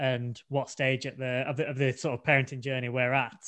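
With an English accent, a man talks at a fairly quick pace in a medium pitch. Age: 20s. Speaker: podcast co-host, blind expectant father. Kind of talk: casual chat.

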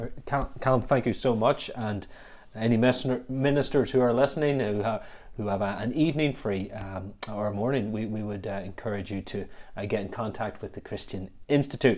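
A man with a Northern Irish accent and ordinary pitch variation. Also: medium pitch for a man, moderate pace. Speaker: podcast host and church officer. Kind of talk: casual podcast conversation.

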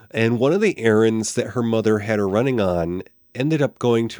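In a dry, close sound with no echo, a man speaks at a moderate pace. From small town. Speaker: podcast co-host discussing classic TV. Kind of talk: casual chat. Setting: live-streamed online recording.

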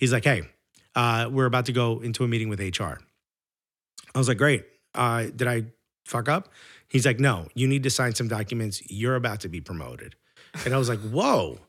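In a very clean recording with a silent background, a man with a New York accent speaks at a fairly quick pace with ordinary pitch variation and long, frequent pauses. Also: medium pitch for a man. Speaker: stand-up comedian. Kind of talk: casual chat. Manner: loud; animated.

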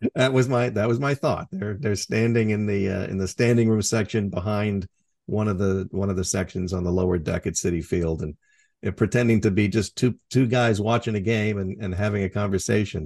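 Against a quiet background, a man talks at a fairly quick pace in a fairly low pitch with ordinary pitch variation. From Washington state, US. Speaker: author and audiobook narrator. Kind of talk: casual interview. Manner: hesitant, filler-heavy, conversational.

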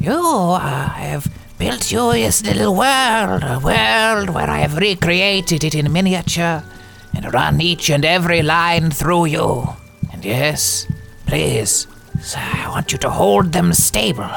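With clear music in the background, a man puts on a character voice, fairly high for a man, at a fairly slow pace. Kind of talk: comic overacting. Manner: doting, cooing to a tiny heart.

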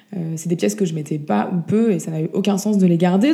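At a very fast pace, a woman speaks in a dark, mellow, somewhat breathy tone with ordinary pitch variation. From France. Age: 30s. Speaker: vintage shop founder. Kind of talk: interview. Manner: hesitant, many fillers.

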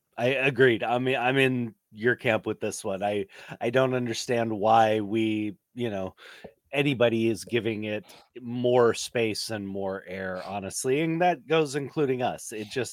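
With an ordinary speaking voice, a man talks at a medium pitch and a moderate pace with ordinary pitch variation, in a dry, close sound with no echo. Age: 40s. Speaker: podcast co-host. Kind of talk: casual chat.

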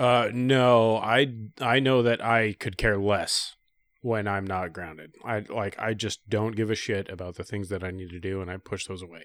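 Recorded very cleanly against a silent background, a normal speaking voice moves at a moderate pace with big swings in loudness and ordinary pitch variation. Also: man, fairly low pitch for a man. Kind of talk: casual banter.

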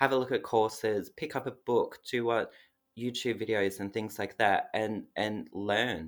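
Over a very clean recording with a silent background, a man with an Australian accent talks fairly slowly at medium pitch with fairly even intonation. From Australia (Melbourne). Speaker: cake business owner. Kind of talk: casual interview.

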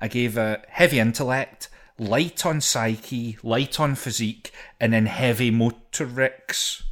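Very clean recording with a silent background of a man in a Scottish accent, medium pitch, fairly slow pace and fairly even intonation. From Scotland. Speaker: podcast co-host. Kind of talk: casual chat about a video game. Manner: joking, laughs often.

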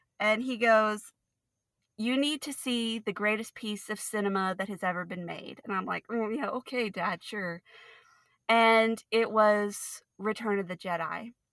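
Heard on a very clean recording with a silent background, a normal speaking voice proceeds at a fairly slow pace with fairly even intonation. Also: woman, fairly high pitch for a woman. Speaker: Star Wars fan. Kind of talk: casual chat.

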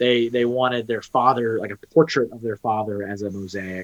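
At a moderate pace, a man with a medium-pitched, plain, everyday voice talks in a dry, close sound with no echo. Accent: American. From Texas. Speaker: freelance artist. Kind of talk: casual chat.

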